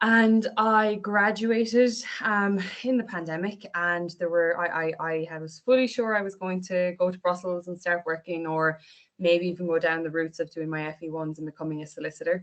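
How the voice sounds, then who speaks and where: A woman with an Irish accent, fairly low-pitched, with ordinary pitch variation, big swings in loudness and a moderate pace. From Ireland, Irish-speaking family. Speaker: health service training officer. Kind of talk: online panel presentation. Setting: video call.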